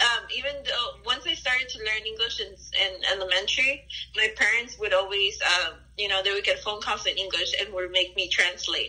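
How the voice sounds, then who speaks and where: With a Spanish accent, a woman speaks at a moderate pace over noticeable background noise. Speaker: interviewee. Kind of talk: interview, personal life story. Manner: casual, hesitant with fillers.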